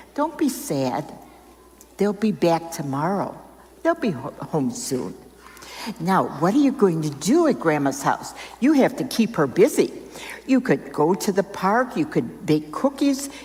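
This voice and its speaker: Through noticeable background noise, a woman at medium pitch speaks fairly slowly with long, frequent pauses and very wide pitch swings. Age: 80s+. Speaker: volunteer storyteller and reading helper. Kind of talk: storytelling to children.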